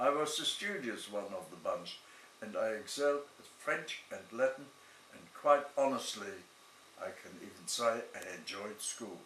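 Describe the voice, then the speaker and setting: Over noticeable background noise and audible room echo, a man speaks at a fairly slow pace with very wide pitch swings and big swings in loudness. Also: fairly high pitch for a man. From Germany (Berlin). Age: 90s. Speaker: Holocaust survivor. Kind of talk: testimony.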